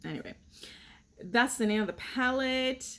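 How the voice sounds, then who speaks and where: Speaking with a non-native accent, the woman keeps a moderate pace. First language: not English. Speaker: beauty youtuber. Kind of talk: casual product review chat.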